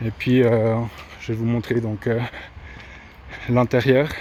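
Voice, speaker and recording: A man with a regional French accent, a medium pitch, monotone, flat intonation and a very slow pace. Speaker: vlogger renovating his house. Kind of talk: casual video tour. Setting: walking tour indoors and outdoors. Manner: halting, many hesitations (euh).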